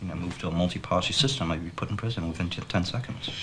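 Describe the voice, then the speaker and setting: Through noticeable background noise, a man with a very deep, low pitch talks very fast with fairly even intonation. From Vietnam. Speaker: radio commentator. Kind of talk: interview.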